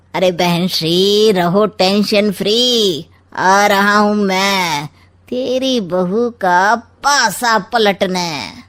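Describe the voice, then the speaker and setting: Using a cartoonish character voice at a medium pitch, a woman speaks at a very slow pace. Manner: sly, teasing, rhyming wisecracks.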